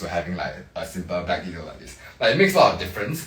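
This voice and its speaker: A man speaks very fast with a Singaporean accent, his pitch very deep and low. Music plays in the background, and audible room echo surrounds him. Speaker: interior designer. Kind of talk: live-stream home tour walkthrough. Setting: livestream inside a condo. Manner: casual, filler-heavy.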